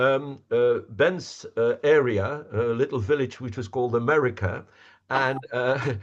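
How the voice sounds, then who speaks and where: Against a quiet background, a man with a Flemish accent talks at a fairly slow pace in a medium pitch with ordinary pitch variation. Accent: Flemish Dutch. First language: Dutch. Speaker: representative of a village association. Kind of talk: presentation Q&A. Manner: halting, repetitive fillers.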